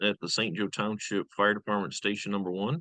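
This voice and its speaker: A man with a fairly low pitch and a slight Michigan accent speaks at a fairly quick pace in a dry, close sound with no echo. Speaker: fire lieutenant and safety coordinator. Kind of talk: interview self-introduction. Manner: frequent uh fillers.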